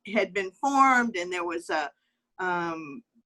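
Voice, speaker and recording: A woman with a Southern US accent speaks in a bright, sharp tone with lively intonation. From US South, Alabama. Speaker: communications executive. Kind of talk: interview conversation. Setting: video call. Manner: hesitant, many fillers.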